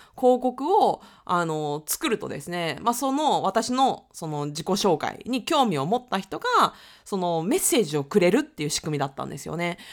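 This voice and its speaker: A woman at medium pitch talks at a moderate pace with very wide pitch swings and big swings in loudness. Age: 30s. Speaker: podcast host, freelancer. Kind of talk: casual monologue. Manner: casual, with laughs and fillers.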